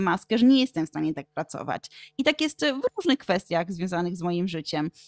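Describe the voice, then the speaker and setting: A woman's voice with very wide pitch swings, in a dry, close sound with no echo. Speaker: Polish teacher and educational content creator. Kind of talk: interview conversation.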